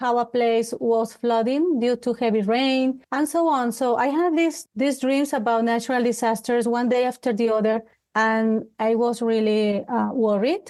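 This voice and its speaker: Against a quiet background, a woman with a Colombian accent speaks fairly slowly in a fairly high voice with fairly even intonation. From Colombia, Bogota. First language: Spanish. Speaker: life coach. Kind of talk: interview. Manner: halting.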